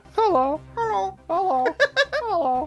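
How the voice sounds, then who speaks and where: A put-on character voice, high and squeaky, moves fairly slowly with a playful tone and very wide pitch swings. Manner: silly, playful.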